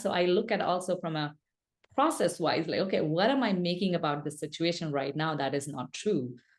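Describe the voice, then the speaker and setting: A woman with a non-native accent and a fairly low pitch talks at a moderate pace against a quiet background. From India. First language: not English. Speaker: speaker and business coach. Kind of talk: podcast interview. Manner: halting, many false starts and fillers.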